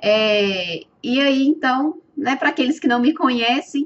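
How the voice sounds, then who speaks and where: Speaking with a strong Minas Gerais accent, a woman uses a high pitch and ordinary pitch variation at a fairly slow pace. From Minas Gerais, Brazil. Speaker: webinar presenter and educator. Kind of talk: live webinar presentation. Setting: online webinar. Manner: hesitant, many filler sounds.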